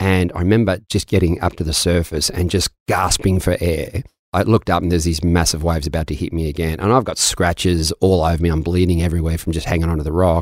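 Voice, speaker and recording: With an Australian accent, a man with a very deep, low pitch talks at a very fast pace with hardly any pauses and fairly even intonation. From Melbourne, Australia. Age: 50s. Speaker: mindset coach. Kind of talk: interview conversation. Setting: studio.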